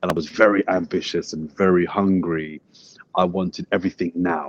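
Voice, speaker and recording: In a London accent, the speaker keeps a moderate pace and a flat, monotone intonation, recorded dry and close with no echo. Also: man. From south London (Brixton). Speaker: sports broadcaster and journalist. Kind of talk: casual interview.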